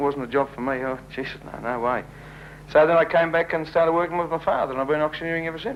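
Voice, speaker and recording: This man has an Australian accent and a fairly high pitch. His pace is very fast. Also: ordinary pitch variation. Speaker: auctioneer. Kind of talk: interview answer. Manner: joking, self-deprecating.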